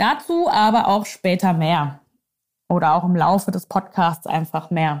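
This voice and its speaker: In a very clean recording with a silent background, a woman speaks at fairly low pitch. Her voice is somewhat breathy, very even in loudness, fairly slow, with ordinary pitch variation. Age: 30s. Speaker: nutrition and life coach, podcast host. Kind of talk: solo personal podcast monologue.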